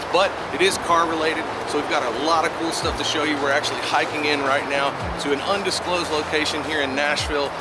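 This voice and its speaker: The speech is very fast. Loud background noise runs behind it. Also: man, dry sound with no echo. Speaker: channel host. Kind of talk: casual vlog chat. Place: street. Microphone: phone near.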